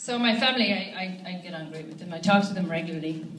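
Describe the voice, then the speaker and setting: In an Irish accent, a woman talks at a very fast pace with ordinary pitch variation, light background noise and audible room echo. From Ireland. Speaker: stand-up comedian. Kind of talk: stand-up. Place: stage.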